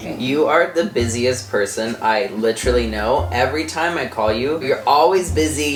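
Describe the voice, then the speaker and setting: Over noticeable background noise, a man with a medium pitch talks at a moderate pace with very wide pitch swings and hardly any pauses. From Indiana. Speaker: fitness dance YouTuber. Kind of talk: casual interview with grandmother.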